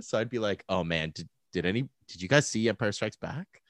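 A man's very fast speech in a Canadian accent, with vocal fry and very wide pitch swings, on a very clean, silent-background recording with a dry, close sound and no echo. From Alberta, Calgary. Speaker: podcast host. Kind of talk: casual chat. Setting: home office.

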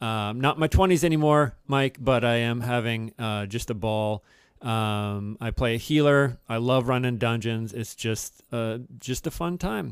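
At a fairly slow pace, a man with a medium pitch and ordinary pitch variation speaks in a very clean recording with a silent background. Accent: Midwestern American. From Cincinnati, Ohio (US Midwest). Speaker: podcast co-host, English professor. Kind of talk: casual chat.

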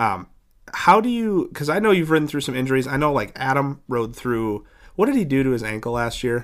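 A man talks at a fairly quick pace with lively intonation in an ordinary speaking voice. The recording is very clean, with a silent background. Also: fairly high pitch for a man. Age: 20s. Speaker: podcast host and dirt track racer. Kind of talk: casual interview.

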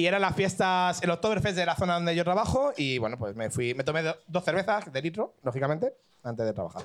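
A man speaks very fast with a high pitch. His pitch swings very widely. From Catalonia. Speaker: audience member. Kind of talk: storytelling. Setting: stage with audience.

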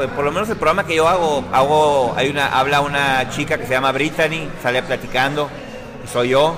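Over music in the background, a fairly high-pitched man speaks at a moderate pace with fairly even intonation. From Sonora, Mexico (Ciudad Obregón). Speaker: radio presenter. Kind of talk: casual interview.

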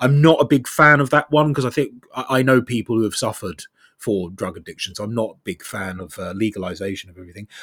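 Speaking very fast at medium pitch, a man with an English accent uses lively intonation and big swings in loudness, on a very clean recording with a silent background. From Southeast England. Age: 30s. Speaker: TikTok commentator. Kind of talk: conversational interview. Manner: wry, self-deprecating.

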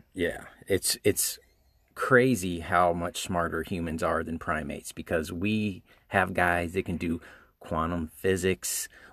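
Fairly slow delivery with fairly even intonation, in a dry, close sound with no echo. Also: man, very deep, low pitch for a man. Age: 40s. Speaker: podcast co-host, father. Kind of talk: casual chat. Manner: halting.

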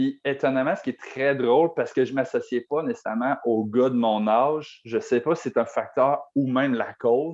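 A man with an ordinary speaking voice, medium pitch and ordinary pitch variation, at a moderate pace with hardly any pauses, over a quiet background. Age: 20s. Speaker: podcast co-host. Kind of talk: casual chat.

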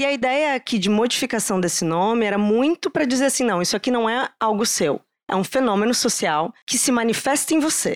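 Her voice fairly high, a woman talks at a fairly quick pace with lively intonation, very even loudness and hardly any pauses, recorded dry and close with no echo. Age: 30s. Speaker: psychologist, diversity and inclusion specialist. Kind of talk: live podcast conversation. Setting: stage with live audience.

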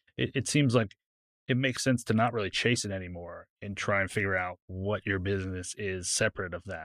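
Against a silent background on a very clean recording, a man talks at a fairly quick pace in a normal speaking voice, fairly low in pitch with ordinary pitch variation. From California. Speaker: cinematographer. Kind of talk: casual chat.

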